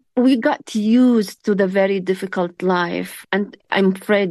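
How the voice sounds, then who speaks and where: A woman with an Arabic accent against a quiet background. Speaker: human rights activist. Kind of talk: interview.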